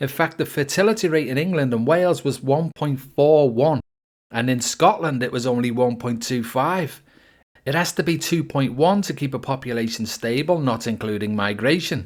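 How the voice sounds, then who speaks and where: On a very clean recording with a silent background, a man with a British accent talks at a moderate pace, his medium pitch carried by lively intonation. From UK. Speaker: political commentator. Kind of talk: opinion monologue.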